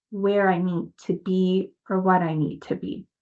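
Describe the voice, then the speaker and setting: A woman speaks with a Spanish accent. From New York City and Dominican Republic. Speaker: mindset coach, nonprofit founder. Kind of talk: podcast interview, personal story. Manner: animated.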